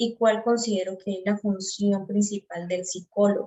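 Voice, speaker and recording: Fairly slow, monotone, flat female speech at a medium pitch. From Colombia, Santander. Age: 20s. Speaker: psychology student. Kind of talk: class presentation. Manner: hesitant.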